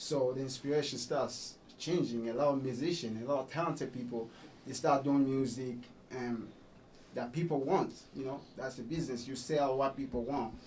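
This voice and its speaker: With room echo audible, a man talks at a moderate speed, keeping a medium pitch and fairly even intonation. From Congo. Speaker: musician. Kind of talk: radio interview. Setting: radio studio.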